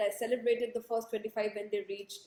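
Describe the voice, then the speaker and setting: A loud woman's voice, high in pitch. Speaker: interviewer, book project host. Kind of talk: live interview intro. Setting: livestream on social media. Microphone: possible echo.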